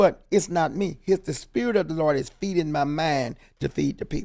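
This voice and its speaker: A man with an American accent speaks at a fairly high pitch and a moderate pace. His tone is dark and mellow, with ordinary pitch variation. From Houston, Texas. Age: 70s. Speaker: pastor. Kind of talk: interview.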